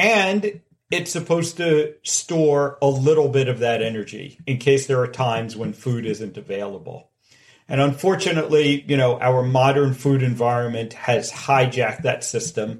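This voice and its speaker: A normal speaking voice from a man, medium in pitch, with ordinary pitch variation and a moderate pace. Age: 40s. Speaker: heart surgeon. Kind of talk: interview.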